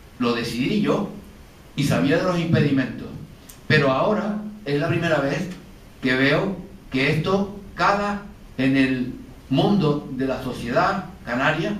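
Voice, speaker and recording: Room echo and noticeable background noise surround a man with a fairly high pitch. He speaks at a fairly slow pace with lively intonation and long, frequent pauses. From Canary Islands. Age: 70s. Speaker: painter. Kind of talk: panel discussion. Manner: halting.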